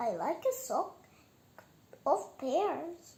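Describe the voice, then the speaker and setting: A woman performs a put-on character voice. Her pitch is extremely high and swings very widely. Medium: read story. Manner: polite, jumbled word order.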